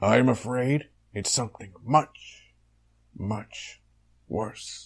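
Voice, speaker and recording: Putting on a character voice, a man talks at medium pitch in a raspy tone at a very slow pace. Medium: audio drama. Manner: heroic, bombastic.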